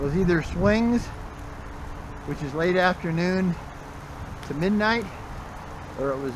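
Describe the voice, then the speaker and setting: A man's high-pitched voice at a fairly slow pace with ordinary pitch variation, amid noticeable background noise and audible room echo. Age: 60s. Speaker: recumbent cyclist and vlogger, military veteran. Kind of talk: casual vlog monologue while riding. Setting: outdoors on a bicycle ride. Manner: halting, many fillers.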